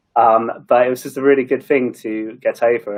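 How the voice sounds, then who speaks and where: An English accent comes through. The voice belongs to a man. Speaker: marketing leader. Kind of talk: panel discussion. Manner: fast; mumbling.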